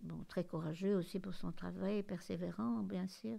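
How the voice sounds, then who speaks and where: Her voice fairly low in pitch with a dark, mellow tone, a woman speaks with ordinary pitch variation. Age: 80s+. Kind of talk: interview answer.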